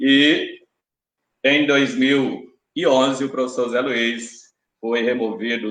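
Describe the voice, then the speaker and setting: A man at a medium pitch and a very slow pace. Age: 50s. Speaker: election candidate, teacher. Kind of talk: debate opening statement. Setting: live-streamed debate. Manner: formal.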